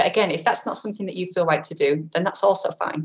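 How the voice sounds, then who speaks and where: The woman's voice is somewhat breathy. It sits at a medium pitch. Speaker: insurance specialist and speaker. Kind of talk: webinar talk. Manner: fast.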